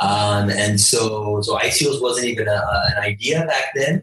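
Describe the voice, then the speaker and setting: With a Canadian accent and a normal speaking voice, a man talks at a fairly slow pace and a medium pitch. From Canada, Toronto. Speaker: cryptocurrency company founder. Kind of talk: interview.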